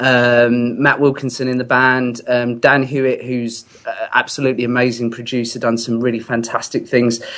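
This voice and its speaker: The man's voice sits at medium pitch in a flat monotone with hardly any pauses. Noticeable background noise runs underneath. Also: moderate pace. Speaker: singer-songwriter. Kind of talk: casual chat. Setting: phone call.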